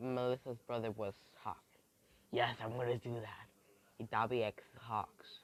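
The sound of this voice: Here we hear an unforced reading voice.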